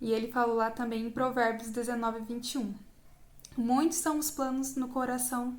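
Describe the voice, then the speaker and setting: A woman talks at a fairly slow pace with a Brazilian accent. Her pitch is high and her intonation fairly even. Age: 20s. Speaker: psychology student. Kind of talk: Bible verse reading.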